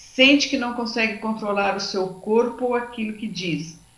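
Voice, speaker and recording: Audible room echo surrounds a woman with a Brazilian accent whose fairly high voice shows ordinary pitch variation. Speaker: lecturer on anxiety. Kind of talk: lecture.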